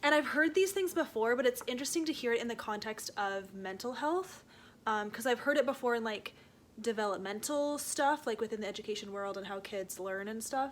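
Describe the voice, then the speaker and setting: In a Canadian accent, a woman with a fairly high pitch and lively intonation speaks in an ordinary speaking voice. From Canada. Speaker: book vlogger. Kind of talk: casual talk to camera. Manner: casual, chatty.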